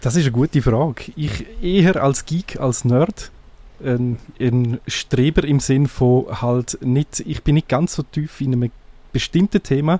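A man speaks at a fairly slow pace with a Graubünden Swiss accent. His pitch is fairly high, and his tone is dark and mellow. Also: ordinary pitch variation, dry, close sound with no echo. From eastern Switzerland, Graubünden / Sarganserland. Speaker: tech blogger and podcaster. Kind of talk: casual radio interview. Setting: radio studio.

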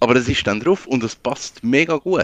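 The man speaks at a fairly slow pace with vocal fry. The sound is dry and close, with no echo. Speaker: freelance digital designer. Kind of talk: casual chat.

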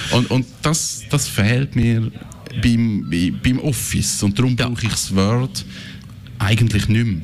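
Speaking very slowly, a man keeps a medium pitch with ordinary pitch variation and very even loudness. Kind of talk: casual chat.

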